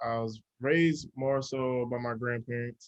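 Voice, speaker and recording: Recorded with a dry, close sound and no echo, a man speaks at medium pitch with an American accent. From New Jersey, US. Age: 30s. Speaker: chef and educator. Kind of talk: interview.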